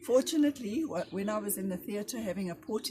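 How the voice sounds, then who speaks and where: A woman speaks over noticeable background noise. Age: 60s. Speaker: cancer survivor. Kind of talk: testimony.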